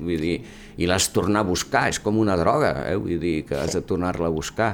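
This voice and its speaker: The man speaks at a moderate pace. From Catalonia, Mataró (Maresme). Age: 70s. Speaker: surgeon and former university rector. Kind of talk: interview. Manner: halting.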